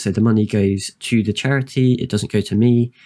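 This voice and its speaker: Soft-spoken and fairly low in pitch, a man with a British accent uses ordinary pitch variation in a dry, close sound with no echo. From UK. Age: 30s. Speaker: streamer. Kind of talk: casual chat. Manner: halting.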